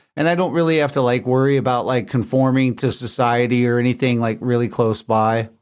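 A man with an unremarkable speaking voice talks at a fairly quick pace and medium pitch, with hardly any pauses. His loudness stays very even and his intonation fairly even. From US South. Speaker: musician and recording engineer. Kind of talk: casual interview.

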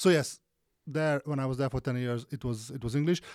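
A normal speaking voice from a man, medium in pitch, with fairly even intonation. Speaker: podcast co-host. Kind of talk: casual chat. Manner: rambling, self-interrupting.

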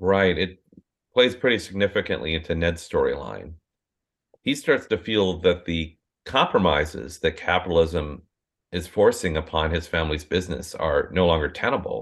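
With an Upper Midwest accent, a man speaks at a moderate pace in a very deep, low pitch. His pitch variation is ordinary. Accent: Upper Midwest American. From southeastern Minnesota, US Midwest. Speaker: novelist. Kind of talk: interview conversation.

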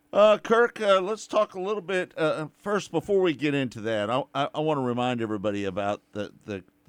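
Recorded very cleanly against a silent background with a dry, close sound and no echo, a man with a plain, everyday voice speaks at a fairly quick pace with lively intonation. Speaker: radio host. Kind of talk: casual sports radio chat.

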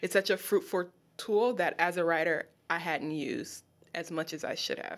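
Speaking in an American accent, a woman has a normal speaking voice with a fairly low pitch and ordinary pitch variation. Her moderate pace comes through on a very clean recording with a silent background. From Los Angeles, US. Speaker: poet and creative writing teacher. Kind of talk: casual interview.

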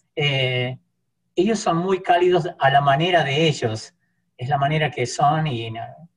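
He speaks with an Argentine accent and ordinary pitch variation. His voice is somewhat breathy. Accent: Argentine Spanish (voseo). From Argentina. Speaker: church interpreter. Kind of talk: casual interview.

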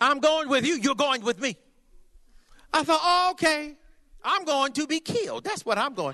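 A man's raised, projected voice at an extremely high pitch, bright and sharp in tone, with lively intonation, a moderate pace and long, frequent pauses. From California. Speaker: traveling preacher. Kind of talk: sermon. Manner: animated.

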